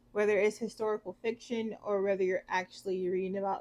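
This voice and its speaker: A woman with a Southern US accent speaks at a medium pitch in a monotone, flat intonation. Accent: Southern, tried to change it. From US South, southwest Georgia. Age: 30s. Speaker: book reviewer. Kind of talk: casual vlog talk. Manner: halting, many fillers.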